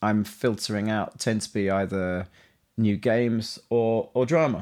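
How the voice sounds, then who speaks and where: A man with a London accent on a very clean recording with a silent background. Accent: Cockney-tinged London English. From East London, England. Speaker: composer. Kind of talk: interview conversation.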